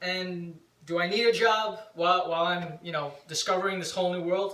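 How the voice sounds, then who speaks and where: A loud, high-pitched male voice with fairly even intonation, audible room echo and noticeable background noise. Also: moderate pace. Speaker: vlogger and punk rock band member. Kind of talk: casual chat.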